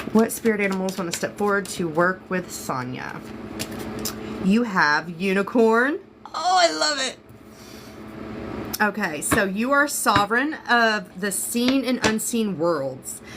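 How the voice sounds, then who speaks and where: Long, frequent pauses break up speech with an American accent and very wide pitch swings. Noticeable background noise is present. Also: woman, medium pitch for a woman. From Florida. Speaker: psychic reader. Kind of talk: live-stream tarot reading. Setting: live stream. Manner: fast; casual, chatty.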